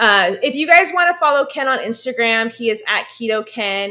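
On a very clean recording with a silent background, a woman talks at a fairly quick pace in an animated, bright and sharp tone. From California. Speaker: podcast host. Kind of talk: casual chat.

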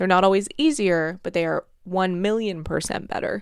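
In a very clean recording with a silent background, a woman talks at a fairly quick pace in an animated tone. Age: 30s. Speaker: podcast host, nutrition coach. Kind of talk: solo podcast monologue.

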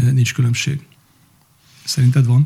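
The tone is dark and mellow, somewhat breathy, with fairly even intonation. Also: man. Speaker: podcast host, business manager. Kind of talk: casual interview chat.

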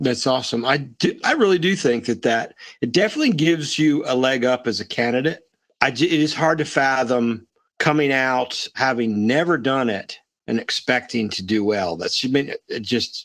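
A man with an ordinary speaking voice talks at a moderate pace, medium in pitch with ordinary pitch variation. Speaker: podcast co-host. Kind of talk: casual interview conversation.

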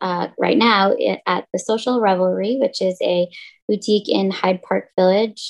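In an American accent, a woman with a plain, everyday voice speaks at a fairly slow pace with ordinary pitch variation. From Massachusetts, Boston suburbs. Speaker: entrepreneur, clothing designer. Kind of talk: interview.

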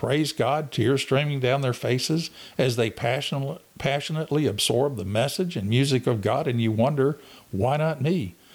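In a very clean recording with a silent background, a man uses a normal speaking voice at a medium pitch, a moderate pace and ordinary pitch variation. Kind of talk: Bible study talk with prayer. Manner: earnest, fervent.

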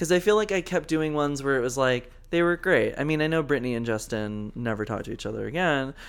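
A man with an ordinary speaking voice, fairly high in pitch, lively intonation, a fairly quick pace, and a very clean recording with a silent background. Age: 20s. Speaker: podcast co-host. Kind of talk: casual chat.

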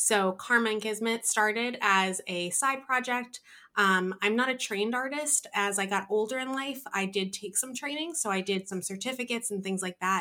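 In an American accent, the speaker talks at a moderate pace with hardly any pauses, a bright, sharp tone and ordinary pitch variation. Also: woman, fairly high pitch for a woman. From New Jersey. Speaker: craft business owner, artist. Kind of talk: casual interview chat.

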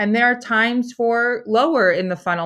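An unremarkable speaking voice from a woman with an American accent, ordinary pitch variation, and a fairly quick pace. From Philadelphia, US. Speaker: food company founder. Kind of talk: interview.

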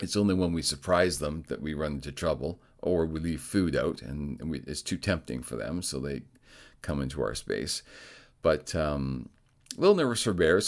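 A man's very deep, low voice with vocal fry at a moderate pace, on a very clean recording with a silent background. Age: 50s. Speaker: podcast host, amateur triathlete. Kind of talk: solo podcast monologue. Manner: casual, conversational.

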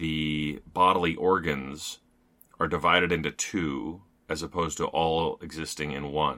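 Very slow and very deep in pitch, a man with an American accent speaks in a bright, sharp tone with fairly even intonation on a very clean recording with a silent background. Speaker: poetry editor and podcast co-host. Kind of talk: casual book discussion.

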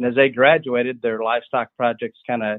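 Speaking in an unremarkable speaking voice with an American accent, a man keeps a fairly quick pace, a medium pitch, and fairly even intonation. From US Midwest, rural Illinois. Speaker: livestock breeder. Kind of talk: interview.

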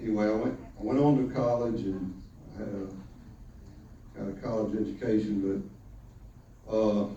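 A man speaks at a fairly low pitch with ordinary pitch variation, and audible room echo surrounds his voice. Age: 60s. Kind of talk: casual monologue; church testimony. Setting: church. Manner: halting. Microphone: poor sound quality.

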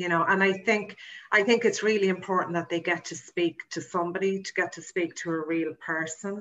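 A woman's fairly low voice in an Irish accent, with ordinary pitch variation. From Ireland, County Meath. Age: 40s. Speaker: tour operator. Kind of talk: interview.

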